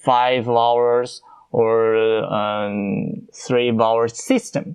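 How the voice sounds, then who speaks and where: A man with a Chinese accent at a very slow pace. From China. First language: Mandarin Chinese. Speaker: podcast host. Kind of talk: casual podcast monologue. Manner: halting, many fillers.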